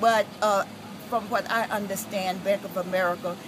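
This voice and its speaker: There is noticeable background noise as a woman talks at a moderate pace. Her medium pitch shows ordinary variation. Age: 70s. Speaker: daycare provider; protester facing foreclosure. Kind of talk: interview answer at a street protest. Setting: outdoors. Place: street. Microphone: phone near.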